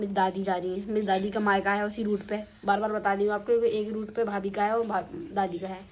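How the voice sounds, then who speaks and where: This woman's pitch sits in the medium range. Her intonation is monotone and flat. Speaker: vlogger. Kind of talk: casual vlog.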